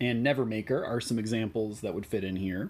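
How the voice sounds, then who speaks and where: With a slight Midwestern US accent, a man speaks fairly quickly at a medium pitch, his pitch varying in an ordinary way. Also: very clean recording, silent background. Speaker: gaming YouTuber. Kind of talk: tutorial. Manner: casual with frequent fillers.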